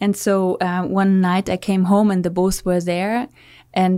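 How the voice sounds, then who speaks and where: A woman with a German accent speaks at a moderate pace in a dark, mellow tone, on a very clean recording with a silent background. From Germany, Münsterland. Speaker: hotel co-founder. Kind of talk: interview. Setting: studio.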